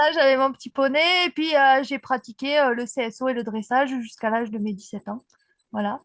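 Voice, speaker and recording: A woman talks at a fairly quick pace in a high voice. The sound is dry and close with no echo, against a quiet background. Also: ordinary pitch variation, big swings in loudness. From southern France, Aveyron (Rodez), Occitanie. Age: 40s. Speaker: para-dressage rider. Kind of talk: interview, personal life story.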